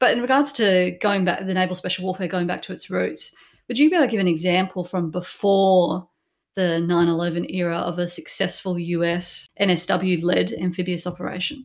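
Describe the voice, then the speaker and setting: In a very clean recording with a silent background, a woman with an Australian accent talks at a fairly quick pace, her medium pitch showing ordinary variation. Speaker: podcast host. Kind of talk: interview hosting.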